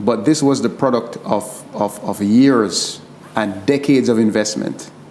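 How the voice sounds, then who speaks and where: Over noticeable background noise, a man talks at a fairly slow pace in a medium pitch with ordinary pitch variation. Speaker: medical doctor and panelist. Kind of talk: panel discussion. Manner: halting, repeats words.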